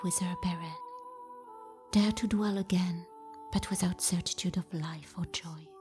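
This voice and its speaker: Over music in the background, a woman speaks at medium pitch with fairly even intonation. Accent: French. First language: French. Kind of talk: fantasy book reading.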